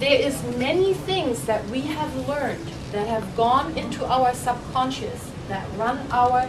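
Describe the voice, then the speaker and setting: A woman's high-pitched voice at a fairly slow pace, very wide pitch swings, audible room echo and noticeable background noise. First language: German. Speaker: holistic health speaker. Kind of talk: workshop talk. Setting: room with small audience. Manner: interactive, asks questions.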